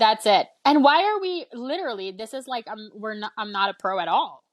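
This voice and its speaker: With a normal speaking voice, a woman talks at a moderate pace in a fairly high pitch, her intonation lively and her loudness swinging widely, the sound dry and close with no echo. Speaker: podcast co-host. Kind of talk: casual chat.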